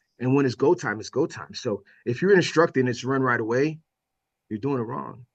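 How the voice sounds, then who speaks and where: This man talks fairly quickly with an American accent, in an animated tone with vocal fry. His pitch varies in an ordinary way while his loudness swings widely. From Miami, Florida. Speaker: firefighter and instructor. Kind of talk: podcast interview. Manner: animated, high energy; loud when teaching.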